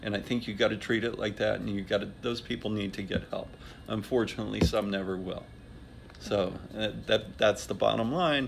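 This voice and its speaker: A man talks at a fairly quick pace in a fairly low voice with vocal fry. His pitch varies in an ordinary way. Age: 60s. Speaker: interviewee sharing life experience. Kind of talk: interview answers. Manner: halting, with many fillers and restarts.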